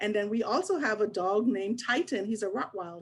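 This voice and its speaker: Recorded very cleanly against a silent background, a woman speaks at medium pitch and a moderate pace. Her pitch varies in an ordinary way, with a slight Bahamian accent. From Bahamas (Nassau). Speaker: HR business partner at a children's agency. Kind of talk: career expo presentation.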